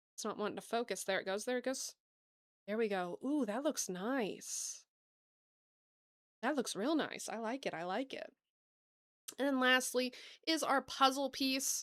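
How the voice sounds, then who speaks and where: In a very clean recording with a silent background, a woman with an American accent and high pitch speaks at a moderate pace with ordinary pitch variation and long, frequent pauses. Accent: Southern US, comes out sometimes. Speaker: gaming streamer. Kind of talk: live gameplay stream chat. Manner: animated.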